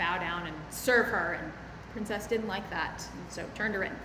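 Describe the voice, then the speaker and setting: Noticeable background noise accompanies a woman speaking in a fairly high pitch with ordinary pitch variation. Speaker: minister, preacher. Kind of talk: sermon delivered to a congregation. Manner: conversational, explanatory with hesitations.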